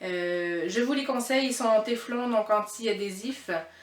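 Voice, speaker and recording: Fairly high in pitch, a woman speaks fairly slowly with fairly even intonation. Noticeable background noise and audible room echo surround her. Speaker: cooking vlogger. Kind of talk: cooking tutorial. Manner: hesitant, stumbling.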